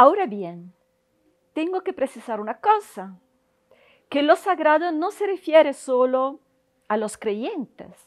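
A woman's high voice in an Italian accent, very wide pitch swings, a fairly slow pace and a quiet background. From Italy. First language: Italian (speaking Spanish). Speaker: university professor. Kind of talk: interview monologue. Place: hall. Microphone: lapel.

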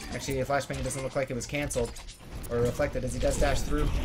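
Music can be heard behind the voice. The words come at a very fast pace. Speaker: esports caster. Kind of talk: live esports commentary. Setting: online stream broadcast. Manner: animated, play-by-play pace with urgent emphasis on key fights; fluent but sprinkled with fillers like 'um' and 'uh'.

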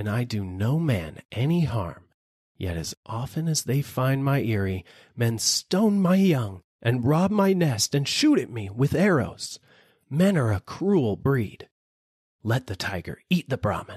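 Using a put-on character voice, a man speaks at a fairly slow pace and a medium pitch, with very wide pitch swings. The sound is dry and close with no echo, against a quiet background.

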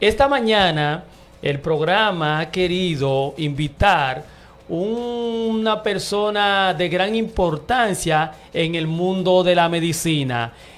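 This man talks at a very slow pace in a high pitch. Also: lively intonation. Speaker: radio show host. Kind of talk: radio talk show. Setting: radio studio.

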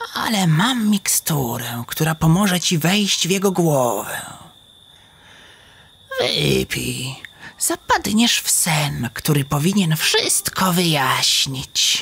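A man with a fairly high voice speaks very slowly in a calm tone. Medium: audio drama. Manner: mysterious, calm.

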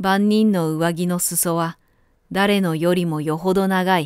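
A woman with a fairly low voice speaks at a fairly slow pace with fairly even intonation, on a very clean recording with a silent background. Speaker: narrator. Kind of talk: audiobook literary reading.

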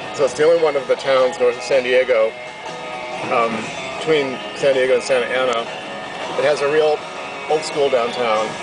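The voice sounds dry with no echo, and clear music plays in the background. The speaker keeps a moderate pace but makes long, frequent pauses. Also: man. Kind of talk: casual travel vlog narration. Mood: relaxed, wry. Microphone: phone near.

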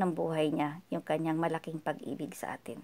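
A woman speaks at a fairly low pitch. Her pace is moderate. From Philippines. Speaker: vlogger leading prayer. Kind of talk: devotional talk leading into prayer. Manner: earnest, humble. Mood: calm, earnest, devotional. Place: home room. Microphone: phone near.

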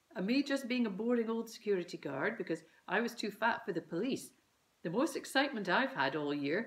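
Lively intonation in a natural-sounding reading of a passage

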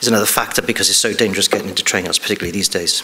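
Very fast delivery in an English accent. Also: man. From England. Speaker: police detective. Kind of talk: conference talk. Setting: stage with audience. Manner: halting. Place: stage.

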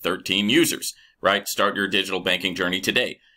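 Very fast male speech over a quiet background. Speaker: channel host. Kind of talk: casual vlog commentary.

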